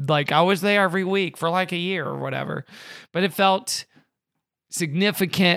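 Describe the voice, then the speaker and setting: A man with an unremarkable speaking voice is heard on a very clean recording with a silent background. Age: 30s. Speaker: comedian. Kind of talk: casual chat.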